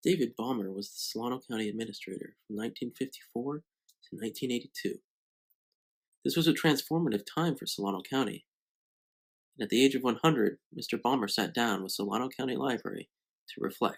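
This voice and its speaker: A man with an ordinary speaking voice talks at a medium pitch and a fairly quick pace. His pitch varies in an ordinary way, while his loudness swings widely. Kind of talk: documentary narration.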